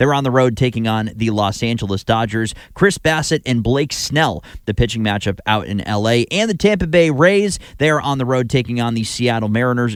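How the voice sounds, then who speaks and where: A man talks fairly quickly in a normal speaking voice at medium pitch, with lively intonation, in a very clean recording with a silent background. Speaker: radio sports host and anchor. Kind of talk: baseball pregame anchoring and scoreboard update.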